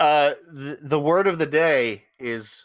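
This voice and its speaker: On a very clean recording with a silent background, a man with a fairly high pitch speaks in a bright, sharp tone with lively intonation. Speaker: tabletop game design podcaster. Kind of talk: casual chat. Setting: live stream. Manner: loud.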